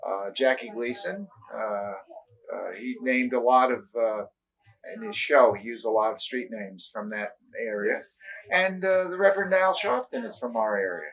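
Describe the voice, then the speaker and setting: A man with a New York accent talks at a moderate pace and medium pitch, his loudness shifting a lot and his pitch swinging very widely. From New York (Brooklyn, then Long Island). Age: 60s. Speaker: retired teacher. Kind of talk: oral history interview. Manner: halting, many fillers.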